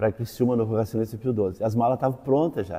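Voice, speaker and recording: Fairly even intonation marks this man's speech, which has a medium pitch and a dark, mellow tone. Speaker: teacher, former seminarian. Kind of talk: interview testimony.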